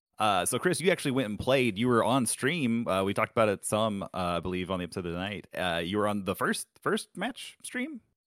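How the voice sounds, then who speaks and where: A man talks in a normal speaking voice, fairly low in pitch, at a fairly quick pace with hardly any pauses. The sound is dry and close, with no echo. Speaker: podcast host. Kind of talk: casual chat.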